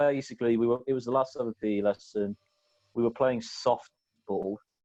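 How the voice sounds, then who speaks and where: With an English accent, a man talks at a fairly quick pace in a medium pitch, his tone dark and mellow, his intonation fairly even, and the sound dry and close with no echo. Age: 20s. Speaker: podcast co-host. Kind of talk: casual chat.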